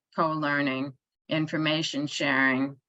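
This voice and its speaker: Against a quiet background, a woman with a New York accent speaks in a very deep, low pitch with a bright, sharp tone and monotone, flat intonation. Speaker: author and cooperative economics researcher. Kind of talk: online conference talk. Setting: online event. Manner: hesitant fillers.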